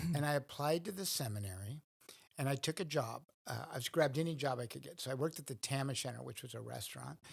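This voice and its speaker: A man with a medium pitch and an American accent talks at a very fast pace, somewhat breathy, with ordinary pitch variation. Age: 60s. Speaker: priest. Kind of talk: interview.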